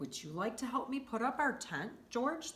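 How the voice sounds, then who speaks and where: Someone performs in a put-on character voice. The pace is moderate. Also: woman, high pitch for a woman. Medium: read story. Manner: warm, patient.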